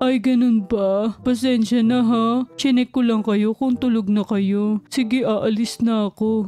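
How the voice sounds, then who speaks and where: In a put-on character voice, a woman speaks at a fairly high pitch. She goes at a fairly slow pace with hardly any pauses. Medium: game stream. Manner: sweet, polite, eager to please.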